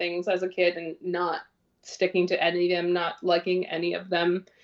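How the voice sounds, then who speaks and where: A woman with a Canadian accent in an ordinary speaking voice, at medium pitch and a moderate pace. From Ontario, Canada (North Bay). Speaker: social media advocate for body positivity. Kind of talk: casual interview chat.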